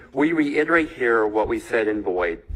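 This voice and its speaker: There is noticeable background noise behind a man's voice. He talks at a moderate pace with ordinary pitch variation. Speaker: defense attorney. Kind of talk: courtroom argument. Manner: loud.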